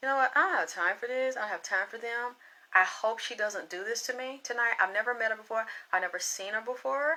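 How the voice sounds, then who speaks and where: The pace is very fast. The tone comes across bright and sharp. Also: woman, fairly high pitch for a woman. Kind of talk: casual.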